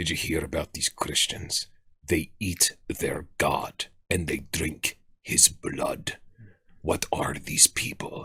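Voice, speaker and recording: A put-on character voice, raspy and delivered in a Russian accent. The pace is very slow. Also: man, very deep, low pitch for a man. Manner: exaggerated, incredulous.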